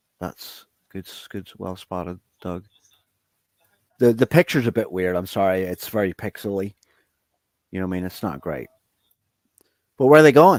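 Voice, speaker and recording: In a very clean recording with a silent background, a man's very deep, low voice sounds dry and close with no echo. He talks at a moderate pace with lively intonation, big swings in loudness and long, frequent pauses. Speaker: guest presenting images of ancient structures. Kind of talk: casual chat while screen-sharing photos.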